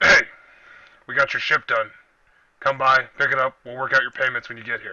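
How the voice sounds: A man puts on a gruff character voice at a medium pitch, talking at a fairly quick pace with a monotone, flat intonation.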